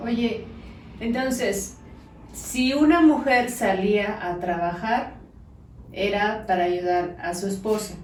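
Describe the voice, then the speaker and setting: Through noticeable background noise, a woman at medium pitch talks at a very slow pace with ordinary pitch variation and long, frequent pauses. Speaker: interviewer. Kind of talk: casual interview.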